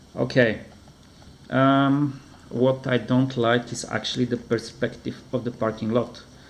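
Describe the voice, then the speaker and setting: Speaking at a fairly slow pace, a man with a non-native accent uses a medium pitch. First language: not English. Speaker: comic book reviewer. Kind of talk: product review. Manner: halting.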